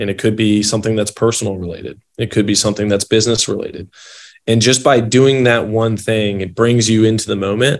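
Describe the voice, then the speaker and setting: At a very fast pace, the speech comes in monotone, flat intonation, in a very clean recording with a silent background. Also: man. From Kentucky, Louisville. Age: 30s. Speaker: health tech executive. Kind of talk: interview.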